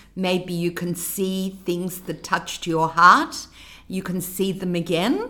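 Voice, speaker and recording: A woman's medium-pitched voice, fairly even in intonation, at a very slow pace. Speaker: co-host, mother. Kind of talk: casual chat, playful game.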